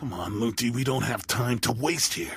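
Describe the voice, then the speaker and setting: This man puts on a growling character voice at a medium pitch. He speaks at a moderate pace. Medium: video game. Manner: casual, cocky, menacing.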